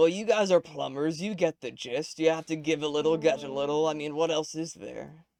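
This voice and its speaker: A put-on character voice from a man, fairly high-pitched, fairly quick, with hardly any pauses. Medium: actual play. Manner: rambling, hesitant, forgetful.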